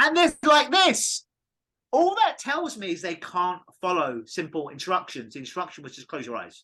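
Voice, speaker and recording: A man speaks with an English accent at a high pitch and moderate pace. His tone is bright and sharp, with very wide pitch swings. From England. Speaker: clinical hypnotist. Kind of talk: podcast interview. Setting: call.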